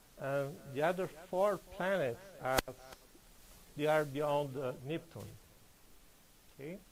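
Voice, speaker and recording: Speaking very slowly with long, frequent pauses, a man with a non-native accent uses a fairly high pitch and ordinary pitch variation. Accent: foreign. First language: Portuguese. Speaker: astronomer. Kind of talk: public lecture. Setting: lecture hall with audience. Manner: halting, many fillers.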